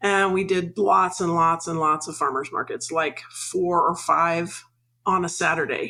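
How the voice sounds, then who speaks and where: Speaking at a fairly slow pace, a woman with a Mid-Atlantic US accent keeps a fairly low pitch and fairly even intonation. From Washington DC suburbs. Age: 60s. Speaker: retired farmer and farm consultant. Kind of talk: interview.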